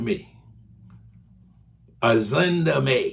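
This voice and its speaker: A man's somewhat breathy voice, very slow in pace, with lively intonation. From Haiti. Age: 60s. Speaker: political commentator. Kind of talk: video monologue. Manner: animated.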